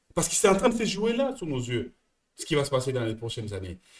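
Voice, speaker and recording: Talking very fast, a man uses an animated tone with very wide pitch swings. His voice has vocal fry. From France. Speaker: business coach. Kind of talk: coaching session. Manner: repetitive, stammering.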